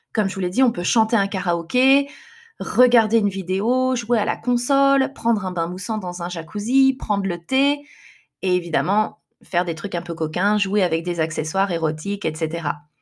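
A woman with an unremarkable speaking voice talks at a moderate pace in a medium pitch with lively intonation, captured in a very clean recording with a silent background. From France. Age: 30s. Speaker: podcaster. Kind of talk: personal storytelling monologue.

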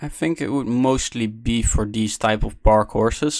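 A man is speaking. His pace is moderate. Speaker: podcast co-host and analyst. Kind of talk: casual podcast discussion of a race. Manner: hesitant, many filler words.

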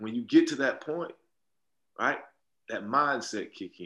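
A man speaks at a moderate pace. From US South, South Carolina (Allendale). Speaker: podcast host, motivational speaker and entrepreneur. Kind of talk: casual chat. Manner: animated.

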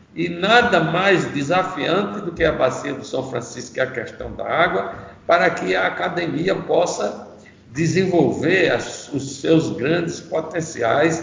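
High-pitched male voice with lively intonation, audible room echo and noticeable background noise. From Northeast Brazil, Maceió, Alagoas. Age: 70s. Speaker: environmentalist and journalist, river basin committee president. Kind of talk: interview.

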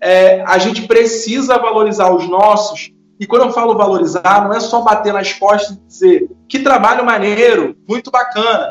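A man's high voice, ordinary in its pitch variation, moving at a moderate pace. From Brazil, São Gonçalo (Rio de Janeiro state). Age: 30s. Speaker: communicator and content creator. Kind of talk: interview.

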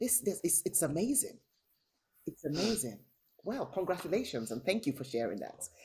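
Delivered at a fairly quick pace, the warm-toned speech is broken by long, frequent pauses. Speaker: interviewer, service manager. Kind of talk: interview. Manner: warm, encouraging.

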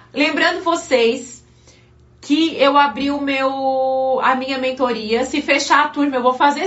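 This woman speaks at a high pitch in an animated tone. There is noticeable background noise. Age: 30s. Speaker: pastor. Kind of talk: live-stream devotional preaching.

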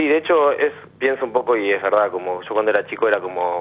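This man talks at a very fast pace. His pitch is fairly low. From Argentina, Buenos Aires area (Quilmes). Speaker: caller. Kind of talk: phone-in counselling conversation.

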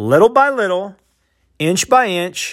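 This man's high voice swings very widely in pitch at a fairly slow pace. The recording is very clean, with a silent background. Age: 40s. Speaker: podcast host, educator. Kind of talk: solo motivational monologue. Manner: halting, repeats words.

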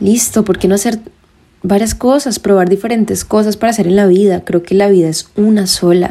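The woman's voice has a dark, mellow tone, a medium pitch and fairly even intonation. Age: 20s. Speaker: podcast host. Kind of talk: personal monologue. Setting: home bedroom.

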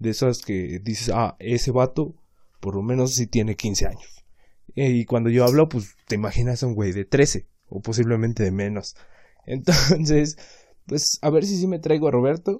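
Speaking quietly in a Mexican accent, a man with a medium pitch and a dark, mellow tone uses lively intonation at a moderate pace. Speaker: podcaster. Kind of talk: casual monologue. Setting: home laundry area at night.

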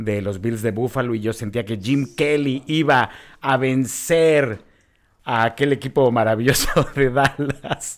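A man speaks at medium pitch in an ordinary speaking voice, with ordinary pitch variation. The recording is very clean, with a silent background. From Mexico City. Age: 30s. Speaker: podcast co-host. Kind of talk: casual chat.

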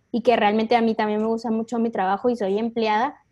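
Over a quiet background, a woman with a high pitch speaks in a dark, mellow tone. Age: 20s. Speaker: marketing assistant. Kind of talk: interview.

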